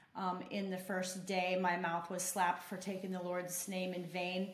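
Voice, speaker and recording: A woman speaks at a medium pitch with an American accent. Some room echo is audible. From Oregon. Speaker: person in addiction recovery. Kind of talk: testimony. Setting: apartment.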